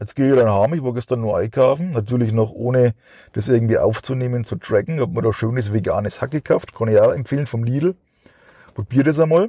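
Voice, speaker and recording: Speaking at a fairly quick pace, a man has a dark, mellow tone, a medium pitch, ordinary pitch variation and a somewhat breathy quality. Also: dry, close sound with no echo. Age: 40s. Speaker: podcast host. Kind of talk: casual monologue. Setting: in a car. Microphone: cheap microphone.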